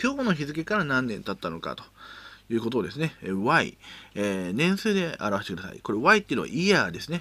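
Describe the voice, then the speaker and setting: A man speaks at a fairly quick pace in a fairly high pitch, with very wide pitch swings and big swings in loudness. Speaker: educational YouTuber teaching Excel. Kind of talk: tutorial. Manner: casual, many filler words.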